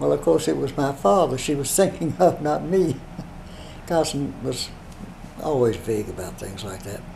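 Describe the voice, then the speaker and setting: A man talks at a moderate pace with very wide pitch swings. Light background noise is present. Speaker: interviewee recounting literary history. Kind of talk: interview answer. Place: home room.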